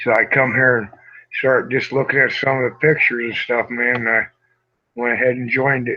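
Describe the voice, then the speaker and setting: A man with a medium-pitched voice speaks at a moderate pace in a monotone, flat intonation. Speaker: hangout participant. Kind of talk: casual chat. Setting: video call.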